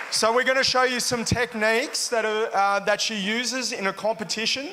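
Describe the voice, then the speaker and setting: A man's raised, projected voice in an Australian accent, high-pitched with a bright, sharp tone, fairly even intonation and a moderate pace. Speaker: jiu-jitsu parent demonstrating. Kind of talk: live demonstration commentary.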